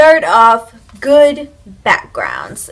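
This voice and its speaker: A woman at a very slow pace. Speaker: YouTuber giving tips. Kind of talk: casual vlog talk to camera. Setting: home, filming with iPad camera. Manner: loud, projected voice; casual, filler-heavy.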